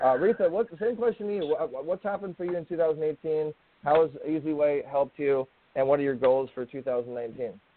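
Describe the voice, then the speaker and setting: At a moderate pace, a man with an unremarkable speaking voice speaks with lively intonation. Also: fairly high pitch for a man. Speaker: radio host. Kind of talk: casual radio chat.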